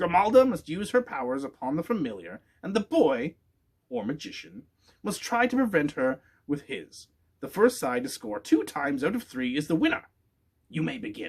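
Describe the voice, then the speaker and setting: In a put-on character voice, a man talks at a moderate pace, high-pitched and shrill. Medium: read story. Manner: bossy, booming.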